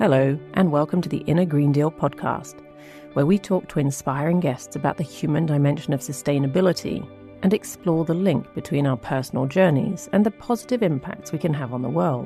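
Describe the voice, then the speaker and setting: Over music in the background, a woman talks at a fairly quick pace with lively intonation and a very deep, low pitch. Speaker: podcast host. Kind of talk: podcast intro.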